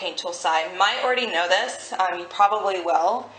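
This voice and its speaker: Noticeable background noise behind a woman's medium-pitched voice with fairly even intonation. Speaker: digital artist. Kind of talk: tutorial voice-over. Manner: casual, hesitant.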